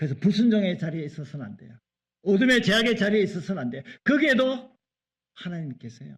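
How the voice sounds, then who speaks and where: The speech races at a very fast pace with very wide pitch swings and big swings in loudness. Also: man, high pitch for a man. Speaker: pastor. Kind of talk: sermon.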